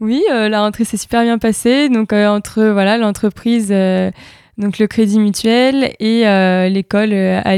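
Speaking fairly slowly, a woman keeps her intonation fairly even in a dark, mellow tone. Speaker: athlete. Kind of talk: interview.

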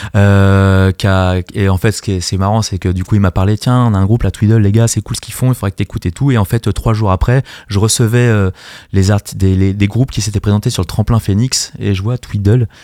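Fairly quick speech from a man with a fairly low, dark, mellow voice and fairly even intonation, dry and close with no echo, on a very clean recording with a silent background. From Paris region (Seine-Saint-Denis). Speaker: music studio manager and artist coach. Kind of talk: radio interview. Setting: radio studio.

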